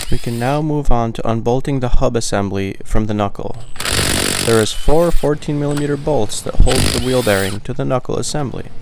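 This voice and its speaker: This man talks at a fairly quick pace, his medium pitch showing ordinary variation. Noticeable background noise runs behind him. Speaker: auto mechanic. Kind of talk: tutorial narration. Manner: calm; measured, scripted-sounding.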